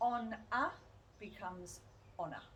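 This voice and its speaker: A woman with a British accent speaks at a fairly high pitch. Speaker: English teacher. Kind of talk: pronunciation lesson to camera. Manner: clear, slow.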